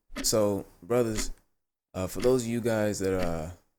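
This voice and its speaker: Here is a man with a plain, everyday voice and a fairly low pitch. He keeps a moderate pace and fairly even intonation. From US, child of Ghanaian immigrants. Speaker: commentary video host. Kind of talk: video commentary monologue. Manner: casual, many filler words.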